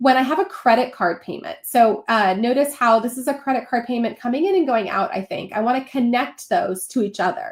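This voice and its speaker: A woman talks with a high pitch. Her pace is fairly quick. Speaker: bookkeeping educator. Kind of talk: tutorial. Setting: live stream. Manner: fast.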